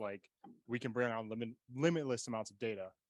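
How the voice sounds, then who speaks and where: A man speaks fairly quickly at a medium pitch with fairly even intonation. The sound is dry and close, with no echo. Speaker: tech company presenter. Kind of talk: conference presentation. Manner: fast.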